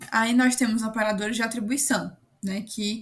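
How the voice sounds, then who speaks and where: Intonation stays fairly even in a somewhat breathy voice. The pace is moderate. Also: woman. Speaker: student tutor. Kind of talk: online class tutorial. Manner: casual.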